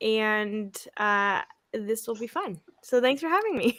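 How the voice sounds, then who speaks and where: A loud voice with a bright, sharp tone. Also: woman. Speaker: former network-marketing coach, stay-at-home mom. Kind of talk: casual chat.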